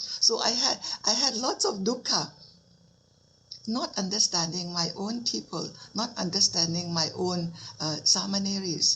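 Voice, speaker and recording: A woman speaks in a Thai accent at a medium pitch with lively intonation. Noticeable background noise is present. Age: 70s. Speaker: Buddhist nun teacher. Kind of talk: dharma talk.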